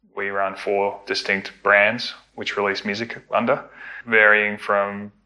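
A man with an Australian accent talks at a fairly low pitch and a fairly slow pace. His tone is bright and sharp, his intonation monotone and flat. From Melbourne, Australia. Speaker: record label founder. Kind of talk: interview conversation.

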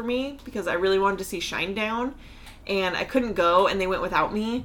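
This woman speaks with an American accent and a plain, everyday voice at a medium pitch. Her pace is fairly quick, and her pitch varies in an ordinary way. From US, Pacific Northwest. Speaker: podcast host. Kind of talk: casual chat.

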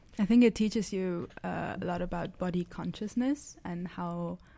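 This woman's voice sits fairly low, with a dark, mellow tone and fairly even intonation. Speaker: student actor. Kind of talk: casual chat. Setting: studio.

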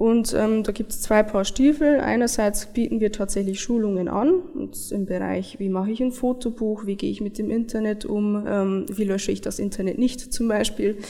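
With hardly any pauses, a woman speaks at a moderate pace. She uses an ordinary speaking voice, fairly high in pitch with ordinary pitch variation. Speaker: software developer. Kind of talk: interview.

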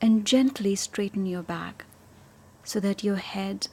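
With fairly even intonation, a woman speaks in a somewhat breathy, dark and mellow voice with a calm, soothing tone. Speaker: meditation teacher. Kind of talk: guided meditation. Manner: slow, calm and soothing, with long pauses; gentle, soft-spoken.

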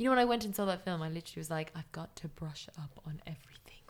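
A woman's fairly low voice in an Irish accent, with lively intonation. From Ireland. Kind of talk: casual chat.

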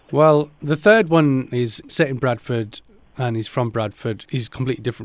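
In a very clean recording with a silent background, a man with a British accent talks at a moderate pace with ordinary pitch variation. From England, Pakistani background. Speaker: actor. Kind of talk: interview.

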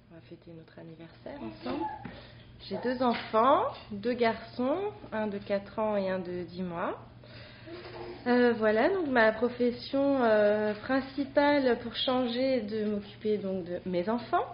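Speaking very slowly with long, frequent pauses, a woman uses a fairly high pitch and lively intonation. Her loudness swings widely over noticeable background noise. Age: 30s. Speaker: stay-at-home mother. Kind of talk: casual chat. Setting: studio.

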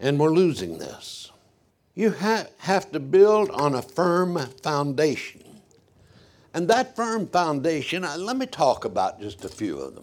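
This man talks at a fairly slow pace in a high pitch, his intonation lively and his loudness swinging widely. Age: 80s+. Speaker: preacher. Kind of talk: sermon. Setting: church.

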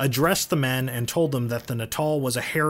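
This is a natural reading voice. The text is read aloud plainly.

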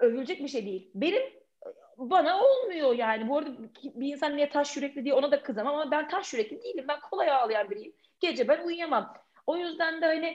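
A woman speaks at a fairly quick pace in a high voice. Her intonation is lively. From Turkey, Karabük then Istanbul. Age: 30s. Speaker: podcaster and former dentist. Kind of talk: podcast interview.

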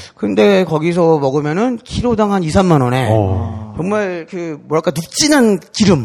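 Hardly pausing at all, a man talks at a very slow pace with a fairly high pitch and very wide pitch swings. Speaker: music critic. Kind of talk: casual chat. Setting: stage with audience.

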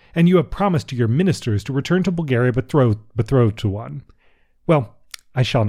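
Lively intonation from an unforced reading voice

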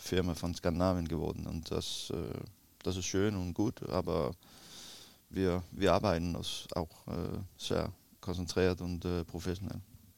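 A man speaks at a very slow pace with vocal fry. His pitch is very deep and low, and his intonation fairly even. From Denmark, Copenhagen area. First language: Danish (speaking German). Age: 40s. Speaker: retired footballer, player agent. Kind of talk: interview. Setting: hotel. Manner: halting.

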